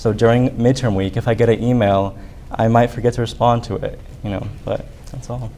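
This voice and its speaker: This man speaks at a fairly quick pace with a Spanish accent, at medium pitch and in a dark, mellow tone. His intonation is monotone and flat. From Arizona, US. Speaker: student government candidate. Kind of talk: debate.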